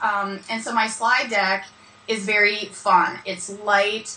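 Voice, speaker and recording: A woman speaks at a fairly high pitch with fairly even intonation. Noticeable background noise runs behind her. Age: 40s. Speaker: business speaker and brand consultant. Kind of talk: interview.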